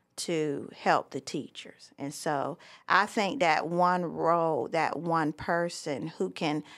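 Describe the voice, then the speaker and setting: On a very clean recording with a silent background, a woman speaks. Her pitch is fairly low, with ordinary variation. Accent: Southern US. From US South, Myrtle Beach, South Carolina. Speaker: school principal. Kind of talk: interview.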